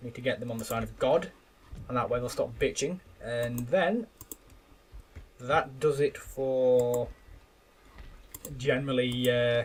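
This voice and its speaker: Speaking with an English accent, a man with a medium-pitched voice keeps his intonation fairly even and leaves long, frequent pauses. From England. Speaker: gaming YouTuber. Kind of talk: gameplay commentary. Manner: casual, hesitant with repeated words.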